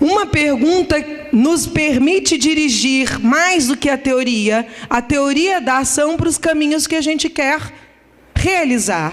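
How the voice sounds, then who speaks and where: A woman speaks at a high pitch with ordinary pitch variation. She keeps a fairly slow pace. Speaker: economics professor. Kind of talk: conference lecture. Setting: conference hall with audience.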